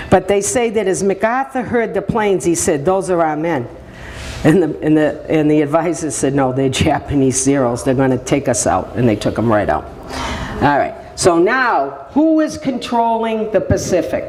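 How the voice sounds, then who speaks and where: Amid noticeable background noise and audible room echo, a woman with a fairly low pitch speaks in an animated tone at a moderate pace, her pitch swinging very widely while her loudness stays very even. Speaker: speaker, daughter of a war veteran. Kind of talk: public presentation. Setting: senior center audience.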